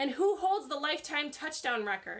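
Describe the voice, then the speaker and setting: A woman puts on a character voice with a high pitch and very wide pitch swings. She speaks at a moderate pace. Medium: read story. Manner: quizzing, questioning.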